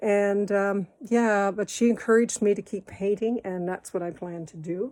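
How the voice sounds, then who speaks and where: At a moderate pace, a woman of medium pitch speaks in a dark, mellow tone with fairly even intonation and big swings in loudness. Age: 60s. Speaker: amateur painter. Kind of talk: video application, casual monologue. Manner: halting.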